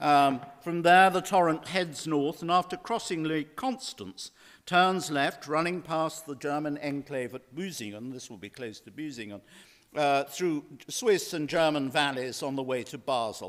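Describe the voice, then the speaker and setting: A fairly high-pitched man at a fairly slow pace, with lively intonation and big swings in loudness, on a very clean recording with a silent background. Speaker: lecturer. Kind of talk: lecture.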